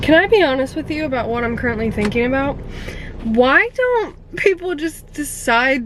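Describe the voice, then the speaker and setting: Amid noticeable background noise, a woman with an American accent and a high voice speaks at a moderate pace. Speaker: lifestyle vlogger. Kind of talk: casual vlog chat. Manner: chatty.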